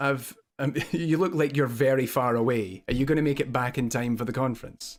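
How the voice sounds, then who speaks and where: The speech comes at a fairly quick pace in a Scottish accent with ordinary pitch variation. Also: man. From Scotland. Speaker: web show co-host, games academic. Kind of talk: casual chat.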